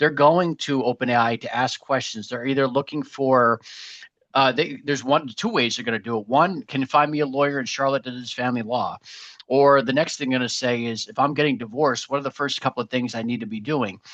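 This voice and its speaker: In a Boston accent, the speech moves at a fairly quick pace with fairly even intonation, dry and close with no echo, over a quiet background. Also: man, medium pitch for a man. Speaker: marketing agency webinar host. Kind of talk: live webinar presentation. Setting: live webinar. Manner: fast.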